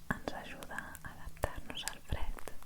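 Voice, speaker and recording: Over noticeable background noise, a woman's whisper unfolds at a very slow pace. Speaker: energy therapist. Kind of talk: ASMR video. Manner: whispered.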